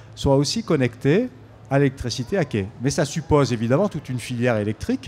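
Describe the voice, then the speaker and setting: With a dark, mellow tone, a man speaks at a fairly high pitch and moderate pace with lively intonation. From Marseille, southern France. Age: 60s. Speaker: EU official; speaker. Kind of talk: public debate. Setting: outdoor stage with audience. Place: street. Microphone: handheld.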